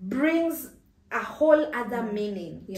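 Light background noise and audible room echo surround a woman's somewhat breathy voice. Her intonation is lively. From Kenya. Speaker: YouTuber, personal finance channel host. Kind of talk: casual interview chat. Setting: studio. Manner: animated. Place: home room.

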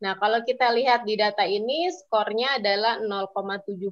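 Speaking at a moderate pace, a woman uses an ordinary speaking voice with a fairly high pitch. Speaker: civil society policy advocate. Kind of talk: online webinar presentation. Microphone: weak signal connection.

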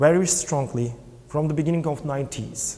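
With a Turkish accent, a man speaks at a moderate pace in a fairly high pitch, his somewhat breathy voice dark and mellow in tone with ordinary pitch variation. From Turkey. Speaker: film producer and LGBT parents' activist. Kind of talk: interview. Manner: halting. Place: hall. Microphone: lapel.

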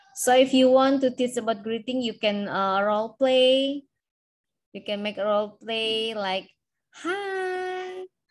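A woman speaks at a very slow pace in a high pitch. Her pitch swings very widely. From Indonesia. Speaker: university lecturer. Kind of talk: lecture. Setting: video call. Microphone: video call.

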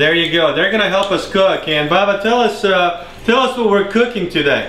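A high-pitched man at a moderate pace with ordinary pitch variation, in a room with audible echo. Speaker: cooking show host. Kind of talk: comedy cooking show. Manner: casual, playful. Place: kitchen. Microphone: camera far.

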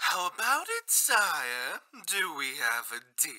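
Delivered in a put-on character voice, the speech is fairly slow and sits at a middle pitch. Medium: dub. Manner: formal, polite.

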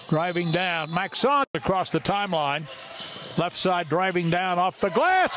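Over noticeable background noise, a man speaks at a fairly slow pace in a dry sound with no echo. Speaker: play-by-play announcer. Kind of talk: sports commentary. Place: hall.

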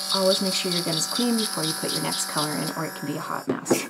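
A quiet woman's voice at medium pitch, fairly quick and with lively intonation, over loud background noise. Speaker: beauty vlogger. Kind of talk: makeup tutorial. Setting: early morning at home.

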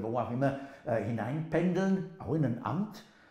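Somewhat breathy, a man's voice makes very wide pitch swings amid audible room echo. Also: quiet background. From England. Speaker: linguist, professor. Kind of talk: interview answer. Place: kitchen. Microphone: lapel.

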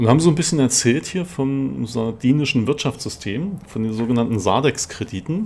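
At a moderate pace with hardly any pauses, a man speaks at a medium pitch with lively intonation. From East Germany. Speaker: gaming YouTuber. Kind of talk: let's play commentary.

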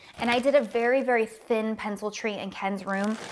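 Her intonation is monotone and flat as a woman speaks at a fairly quick pace. Light background noise is present. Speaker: lifestyle vlogger. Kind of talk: casual haul vlog chat. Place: home room. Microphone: lapel.

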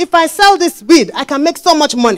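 Lively intonation at a moderate pace against a quiet background. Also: woman. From Nigeria (Lagos). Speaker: preacher. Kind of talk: sermon. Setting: church. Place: church. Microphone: handheld.

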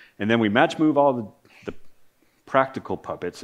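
Ordinary pitch variation from a man, quiet background behind him. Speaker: conference presenter. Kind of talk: technical presentation. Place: stage. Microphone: podium.

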